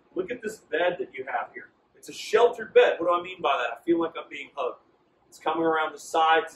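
A man talks at a very fast pace with a high pitch, lively intonation and big swings in loudness, and audible room echo surrounds him. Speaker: sales trainer. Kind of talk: training presentation. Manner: confident; animated. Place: shop.

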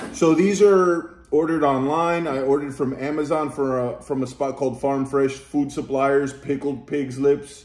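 There is audible room echo as a man talks at a fairly slow pace. His pitch varies in an ordinary way. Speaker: food vlogger. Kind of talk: casual vlog chat. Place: home room. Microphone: phone near.

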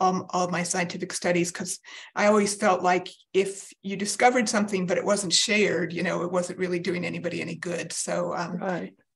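A woman speaks at a moderate pace, somewhat breathy, with monotone, flat intonation. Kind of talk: interview answer. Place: home room. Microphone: video call.

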